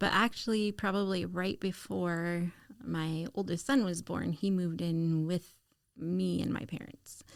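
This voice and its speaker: An unremarkable speaking voice, fairly slow, its pitch shifting in a normal way. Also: woman, fairly low pitch for a woman. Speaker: case manager who was a young single mother. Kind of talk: casual podcast interview answer.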